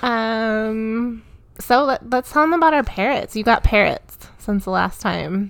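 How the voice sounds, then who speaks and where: Her pitch fairly high with ordinary variation, a woman speaks at a fairly slow pace. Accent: Midwestern American. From US Midwest, Michigan. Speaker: podcast co-host, mother. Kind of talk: casual chat. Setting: home.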